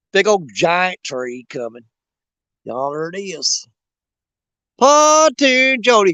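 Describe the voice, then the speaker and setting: With a Southern US accent, a man speaks at a high pitch, the sound dry and close with no echo. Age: 50s. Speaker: outdoors livestreamer. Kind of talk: live stream chat. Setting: outdoors on riverbank. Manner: animated.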